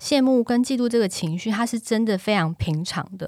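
This woman has a fairly high pitch and lively intonation, talking at a moderate pace. It is an unremarkable speaking voice. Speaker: podcast host and social media influencer. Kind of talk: casual chat.

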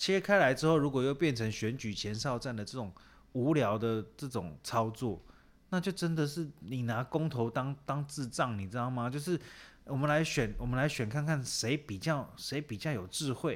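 Lively intonation carries this voice at a moderate pace, on a very clean recording with a silent background. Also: man, medium pitch for a man. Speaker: podcast co-host. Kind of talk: casual chat about referendums. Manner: animated, laughing.

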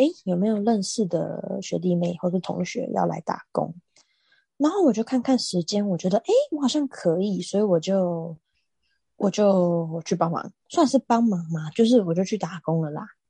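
Somewhat breathy and dark, mellow in tone, a woman's voice has lively intonation in a dry, close recording with no echo. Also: medium pitch for a woman, moderate pace. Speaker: podcast co-host, swimming coach. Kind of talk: casual chat.

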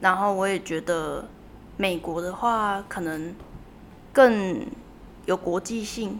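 A woman talks at a very slow pace with long, frequent pauses and ordinary pitch variation. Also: medium pitch for a woman. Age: 20s. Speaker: university student. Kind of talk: interview.

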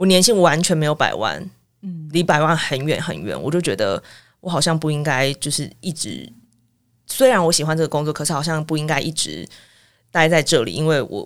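In a Taiwanese accent, a woman with a very deep, low pitch and vocal fry talks at a fairly quick pace with ordinary pitch variation. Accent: Taiwanese Mandarin. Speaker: former international news reporter. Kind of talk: casual interview.

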